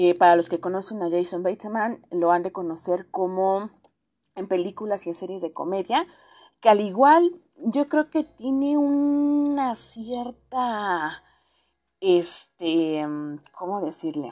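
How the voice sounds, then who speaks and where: Speaking very slowly against a quiet background, a woman with a Mexican accent has a dark, mellow tone at medium pitch. Her pitch swings very widely. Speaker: podcast host. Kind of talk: casual monologue. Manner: halting; subdued.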